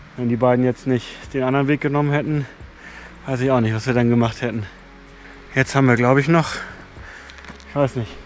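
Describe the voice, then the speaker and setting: Speaking at a fairly quick pace with monotone, flat intonation, a man is heard over background music in a dry sound with no echo. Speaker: hiker vlogger. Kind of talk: casual vlog chat. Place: forest. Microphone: phone near.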